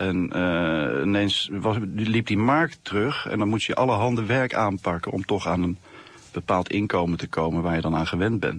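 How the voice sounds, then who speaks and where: A man with an unremarkable speaking voice talks at a moderate pace and a fairly low pitch, with ordinary pitch variation, in a dry sound with no echo. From Netherlands, The Hague; Netherlands. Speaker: comic artist. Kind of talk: radio interview.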